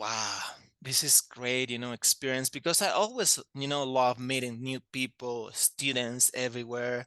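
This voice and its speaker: In a Spanish accent, a man talks with a bright, sharp tone and fairly even intonation. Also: medium pitch for a man, dry, close sound with no echo. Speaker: language teacher. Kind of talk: interview. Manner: hesitant, many fillers.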